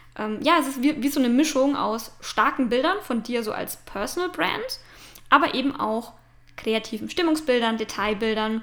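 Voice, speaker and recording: The voice belongs to a woman and sits high in pitch. She talks at a moderate pace, her pitch varying in an ordinary way. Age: 20s. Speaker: podcast host and branding photographer. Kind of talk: casual monologue. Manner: hesitant fillers.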